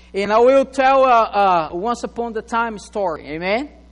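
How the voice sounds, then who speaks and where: A man speaks with a non-native accent at a fairly slow pace. His pitch varies in an ordinary way. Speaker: pastor. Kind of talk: sermon. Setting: church.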